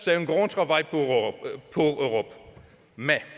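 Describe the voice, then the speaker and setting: This man speaks at a fairly slow pace with a high pitch and a German accent. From Germany. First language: German (speaking French). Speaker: trade union official. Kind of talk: conference speech. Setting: stage with audience. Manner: halting.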